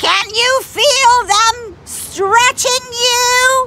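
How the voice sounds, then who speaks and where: Over light background noise, a woman performs a put-on character voice at an extremely high pitch. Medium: read story. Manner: mock-sweet.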